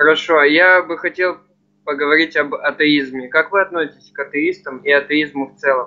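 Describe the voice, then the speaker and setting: A man's fairly high voice, fairly even in intonation, at a moderate pace. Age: young. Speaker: viewer asking questions; interviewer asking questions. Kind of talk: casual chat. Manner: polite. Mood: polite, curious. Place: home room. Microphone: video call.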